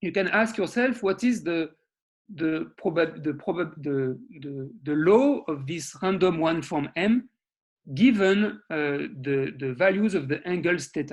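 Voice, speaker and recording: A man with a fairly high voice talks fairly slowly, his intonation lively. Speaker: mathematics researcher. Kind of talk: lecture. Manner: halting, repeats words.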